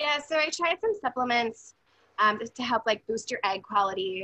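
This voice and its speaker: A woman's high voice carries a bright, sharp tone and swings very widely in pitch. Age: 30s. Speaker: podcast guest sharing infertility story. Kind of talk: casual chat.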